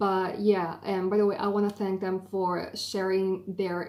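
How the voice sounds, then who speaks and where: The speech comes at a fairly slow pace in an Italian accent. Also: woman. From Italy. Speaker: YouTuber, film graduate. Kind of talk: explainer video. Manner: hesitant fillers.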